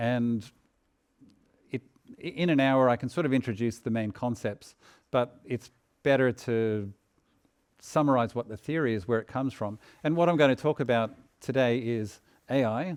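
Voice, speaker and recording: A man with an Australian accent at a medium pitch and moderate pace, ordinary pitch variation, with long, frequent pauses. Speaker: AI researcher and author. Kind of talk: lecture. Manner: halting, repeats words.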